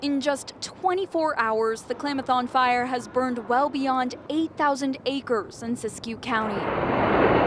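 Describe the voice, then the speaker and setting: A woman with a high pitch and ordinary pitch variation speaks at a fairly slow pace with hardly any pauses, against noticeable background noise. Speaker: TV news reporter. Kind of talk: TV news reporter live shot and package.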